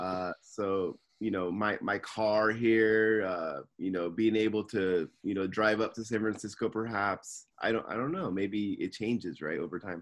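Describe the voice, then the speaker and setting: This unremarkable speaking voice moves at a fairly slow pace with hardly any pauses and fairly even intonation, over a quiet background. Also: man, fairly low pitch for a man. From California, Simi Valley. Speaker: podcast co-host. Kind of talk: casual chat.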